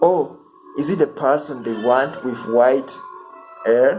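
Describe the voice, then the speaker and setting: Over music in the background, a man with a non-native accent and a medium pitch speaks at a very slow pace. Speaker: amateur poetry reader. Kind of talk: reading aloud.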